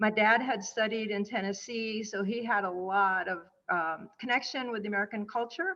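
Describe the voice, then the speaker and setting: A woman with a Spanish accent, at a moderate pace and with ordinary pitch variation. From Cuba, raised in small-town Indiana. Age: 60s. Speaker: author and motivational speaker. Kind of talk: interview chat. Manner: hesitant, frequent fillers.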